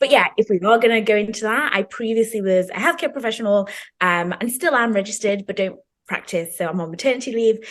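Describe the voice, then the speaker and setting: A woman with a British accent speaks at a very fast pace, her fairly high pitch showing ordinary pitch variation. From Zimbabwe, then the UK. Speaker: PhD student and healthcare professional. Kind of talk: casual chat.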